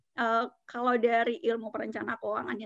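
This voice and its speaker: A woman in an unremarkable speaking voice talks at a moderate pace and a fairly high pitch. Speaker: financial advisor. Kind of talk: casual interview chat about personal finance.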